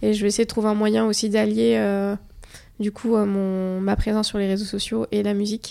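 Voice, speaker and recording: A woman's dark, mellow, medium-pitched voice at a moderate pace, flat and monotone, with long, frequent pauses. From Morocco. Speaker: fashion influencer. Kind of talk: interview. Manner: hesitant.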